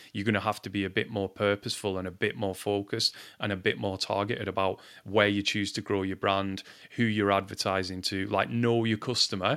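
Over a silent background in a very clean recording, a man with a Lancashire accent talks at a fairly quick pace in a fairly low pitch with monotone, flat intonation. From Lancashire, northern England. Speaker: marketing executive and podcast co-host. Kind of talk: casual chat.

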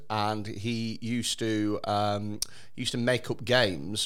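Ordinary pitch variation marks a man's normal speaking voice at a medium pitch. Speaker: podcast host. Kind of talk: casual banter chat.

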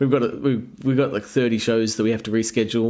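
A man talks very fast with an Australian accent. His pitch sits in the medium range. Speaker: rock band musician. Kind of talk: casual interview chat. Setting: video call.

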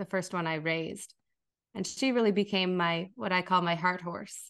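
In a quiet setting, a woman with an unremarkable speaking voice talks at a medium pitch with fairly even intonation. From Minnesota. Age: 40s. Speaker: equine relationship coach. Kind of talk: interview.

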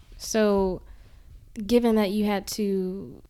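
A woman's dark, mellow voice at medium pitch comes through a very clean recording with a silent background. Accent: Mississippi. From Jackson, Mississippi. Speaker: podcast host. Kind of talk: casual interview.

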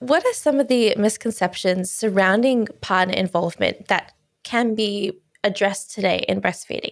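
A woman with an Australian accent at a moderate pace, medium in pitch, with ordinary pitch variation and very even loudness. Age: 20s. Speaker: podcast host. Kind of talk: interview.

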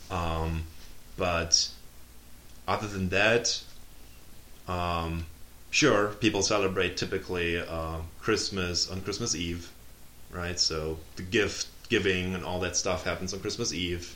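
In a German accent, a man speaks very slowly with long, frequent pauses and a very deep, low pitch. His tone is bright and sharp, his intonation fairly even. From Germany. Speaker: PhD student. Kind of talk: casual interview.

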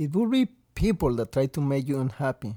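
With a Mexican accent, a man speaks at a moderate pace and fairly high pitch with lively intonation, the sound dry and close with no echo on a very clean recording with a silent background. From Mexico (Veracruz). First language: Spanish. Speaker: restaurant server and guest sharing his life story. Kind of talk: casual interview, telling personal story.

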